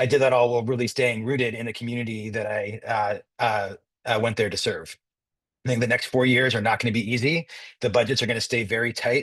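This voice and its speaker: Someone with an American accent rattles along at a very fast pace in a monotone, flat intonation. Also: man, medium pitch for a man. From Southern California, San Diego area. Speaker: school board candidate and union leader. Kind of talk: endorsement interview.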